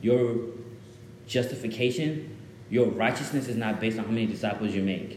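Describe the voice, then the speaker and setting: A man with a medium-pitched voice speaks in a fairly even tone, leaving long, frequent pauses. The room echo is audible. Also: fairly quick pace. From Zimbabwe, moved to Dallas, Texas at about seven. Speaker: guest preacher. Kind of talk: sermon. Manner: casual, interactive with audience.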